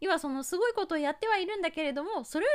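This woman's voice sits at an extremely high pitch. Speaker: YouTube advisor and pro gamer. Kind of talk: advice monologue. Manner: casual with many fillers.

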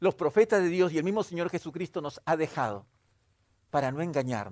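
On a very clean recording with a silent background, a man speaks at a high pitch and moderate pace with ordinary pitch variation. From Peru. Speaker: pastor. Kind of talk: sermon.

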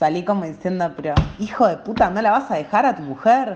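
A woman at a fairly quick pace, with lively intonation over noticeable background noise. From Latin America. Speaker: musical theatre fan. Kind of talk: testimony.

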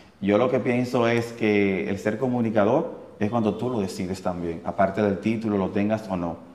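With hardly any pauses, a man speaks at a fairly low pitch with fairly even intonation, amid audible room echo and noticeable background noise. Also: moderate pace. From Dominican Republic, Santiago. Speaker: radio host and producer. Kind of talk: casual interview. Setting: studio.

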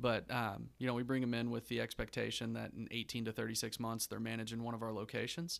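A man talks at a very fast pace with hardly any pauses. His intonation is monotone and flat. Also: medium pitch for a man. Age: young. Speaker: business executive. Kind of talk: casual chat.

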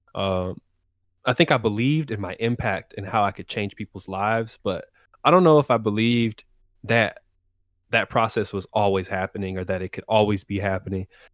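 In a very clean recording with a silent background and a dry, close sound with no echo, a man with an American accent uses a normal speaking voice, fairly low in pitch, at a fairly quick pace with ordinary pitch variation. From Texas. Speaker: music producer and singer. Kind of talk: casual interview chat.

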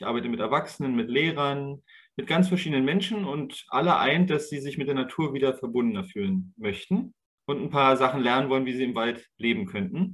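A man talks in a normal speaking voice, pitched fairly high, at a fairly quick pace. His intonation is lively. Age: 30s. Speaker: nature educator. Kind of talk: interview.

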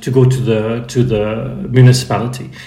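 A man's voice sits at a medium pitch, with noticeable noise in the background. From Netherlands and Germany. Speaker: magazine project manager. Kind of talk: interview. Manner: repeats words, hesitant.

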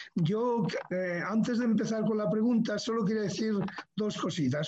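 With audible room echo around him, a man speaks at a fairly slow pace in a dark, mellow tone with ordinary pitch variation. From Asturias, Spain (Gijón). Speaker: panelist. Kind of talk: interview.

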